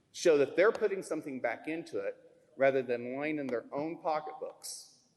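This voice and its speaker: At a moderate pace, a man with a fairly high pitch and lively intonation speaks in a plain, everyday voice. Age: 60s. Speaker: member of the public giving testimony. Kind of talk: public testimony. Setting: public hearing in a school.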